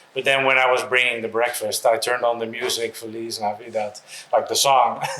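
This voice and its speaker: Over noticeable background noise, a man talks at a fairly quick pace and medium pitch in a monotone, flat way. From Netherlands. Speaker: expat real estate entrepreneur. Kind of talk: interview. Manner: hesitant, filler-heavy.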